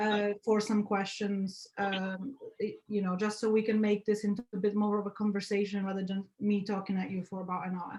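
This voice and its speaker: A woman's medium-pitched voice at a moderate pace, with monotone, flat intonation and hardly any pauses. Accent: Polish. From Poland. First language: Polish. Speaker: graphic designer. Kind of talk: guest talk on video call. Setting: video call. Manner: loud.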